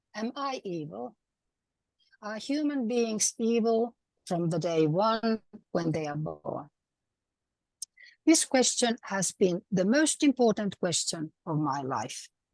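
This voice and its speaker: With a Finnish accent and a fairly high pitch, a woman talks at a very slow pace, her pitch swinging very widely between long, frequent pauses, in a dry, close sound with no echo. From Finland. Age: 70s. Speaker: retired housewife, conference speaker. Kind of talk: pre-recorded talk.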